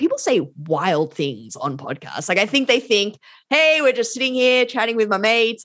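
Someone with an Australian accent speaks at a moderate pace with very wide pitch swings. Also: woman. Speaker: law and tech policy academic. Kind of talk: interview. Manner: casual.

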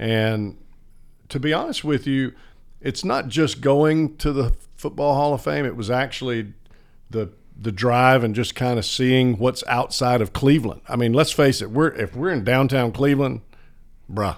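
A man with a Southern US accent talks at a moderate pace with ordinary pitch variation. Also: medium pitch for a man. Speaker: radio broadcaster. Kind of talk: casual chat.

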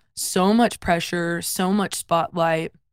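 At a fairly slow pace, a woman with a slight Southern US accent talks at a medium pitch with fairly even intonation. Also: very clean recording, silent background. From US South, South Carolina. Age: 20s. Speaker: worship singer. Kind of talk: casual interview.

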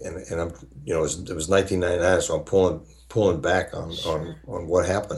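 This man talks at a fairly quick pace in a very deep, low, somewhat breathy voice. Long pauses come often. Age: 70s. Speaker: author and speaker. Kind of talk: casual interview chat.

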